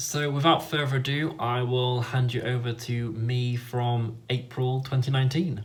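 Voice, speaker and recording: A man speaks at a moderate pace in a medium-pitched, somewhat breathy voice. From northern England, Leeds, Yorkshire. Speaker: YouTuber and fan site editor. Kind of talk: vlog intro.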